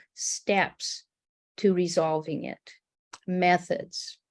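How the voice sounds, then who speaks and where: Here a woman talks at medium pitch with fairly even intonation. Hers is an unremarkable speaking voice. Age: 60s. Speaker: art-based healing coach. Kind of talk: panel discussion.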